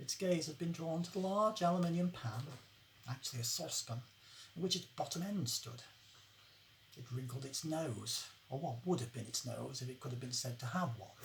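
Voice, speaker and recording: The pace is fairly quick, though long, frequent pauses break it up. Noticeable background noise is present. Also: woman, very deep, low pitch for a woman. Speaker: author. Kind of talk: short story reading.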